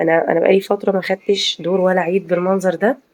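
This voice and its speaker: A woman with an Egyptian accent speaks at a fairly quick pace in a fairly low, monotone, flat voice. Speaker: video commentator, housewife vlogger. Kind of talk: casual video commentary. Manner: hesitant, many fillers.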